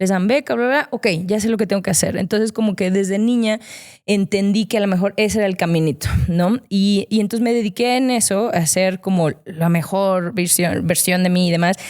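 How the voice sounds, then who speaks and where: A woman with a Mexican accent, talking at a fairly quick pace. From Mexico, León, Guanajuato. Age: 30s. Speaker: former athlete and digital strategist. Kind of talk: interview conversation. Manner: hesitant, many fillers.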